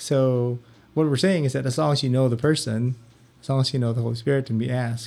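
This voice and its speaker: In a dark, mellow tone, a man speaks at medium pitch with fairly even intonation. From Philippines. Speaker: parish religious education director. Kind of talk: interview.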